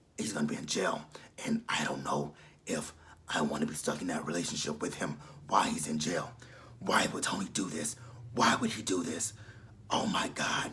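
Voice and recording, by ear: A man's put-on character voice, raspy and very deep, at a moderate pace with long, frequent pauses, over light background noise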